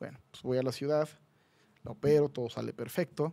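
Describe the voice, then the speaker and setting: At a fairly quick pace, a man speaks in a fairly high pitch with a dark, mellow tone. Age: 30s. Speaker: plastic surgeon; guest. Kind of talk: casual chat. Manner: animated. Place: studio. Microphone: studio mic.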